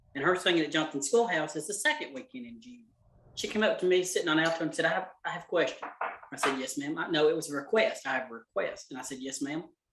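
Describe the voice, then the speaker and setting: Very fast and high-pitched, a man with a Southern US accent talks with lively intonation and big swings in loudness. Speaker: cooking class teacher. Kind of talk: casual chat. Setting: video call.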